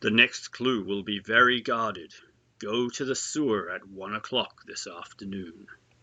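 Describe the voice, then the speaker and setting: A man speaks in a put-on character voice at a moderate pace. His pitch sits in the middle range. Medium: read story. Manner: taunting.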